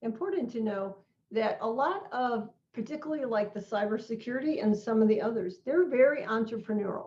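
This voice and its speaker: Lively intonation marks this woman's plain, everyday voice. Her pitch is fairly high and her pace fairly quick. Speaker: non-profit organization president. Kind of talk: online presentation.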